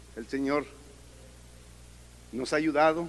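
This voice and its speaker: A man speaks at a fairly slow pace. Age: 60s. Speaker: church member giving testimony. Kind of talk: testimony.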